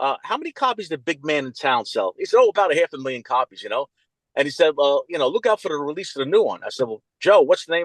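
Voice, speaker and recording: A man talks very fast in a New York accent. The sound is dry and close, with no echo. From Mount Vernon, New York (US Northeast). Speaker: music fan and record collector. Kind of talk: interview.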